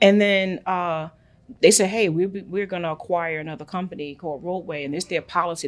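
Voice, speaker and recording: Someone with a Brooklyn accent talks at a very fast pace in a very clean recording with a silent background. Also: woman. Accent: New York (Brooklyn). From New York, Brooklyn. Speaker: international trade entrepreneur. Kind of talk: podcast interview. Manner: animated.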